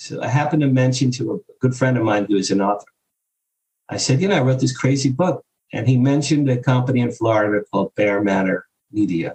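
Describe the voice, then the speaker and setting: At a very fast pace, a man speaks with a medium pitch. He sounds somewhat breathy, with ordinary pitch variation. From US Northeast, Jersey Shore. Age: 60s. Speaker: publicist and author. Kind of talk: interview storytelling. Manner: animated.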